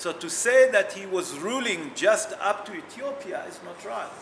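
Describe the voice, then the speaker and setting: Noticeable background noise and audible room echo surround a man whose intonation is lively. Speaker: rabbi teaching a Torah class. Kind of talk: religious text class. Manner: loud.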